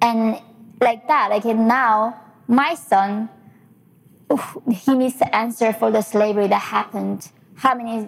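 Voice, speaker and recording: This woman speaks with a Korean accent and a fairly high pitch. Her pace is fairly slow, with ordinary pitch variation. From North Korea. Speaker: human rights activist and author. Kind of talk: lecture. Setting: stage with audience. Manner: animated, humorous.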